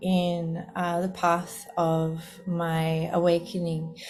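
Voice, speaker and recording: A woman with an Australian accent speaks in a relaxed tone at medium pitch. Music plays in the background, and the room echo is audible. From Australia, Sydney. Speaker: spiritual teacher and podcast host. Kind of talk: casual monologue. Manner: relaxed, easy flowing.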